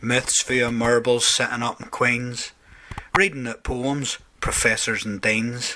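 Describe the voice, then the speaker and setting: Over noticeable background noise, a man with an Ulster Scots accent speaks at medium pitch. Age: old. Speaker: poet. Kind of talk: poetry reading.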